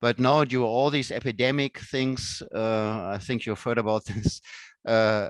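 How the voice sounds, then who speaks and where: A man with a German accent, medium pitch and ordinary pitch variation, in a dry, close sound with no echo and a very clean recording with a silent background. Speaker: professor. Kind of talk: casual chat.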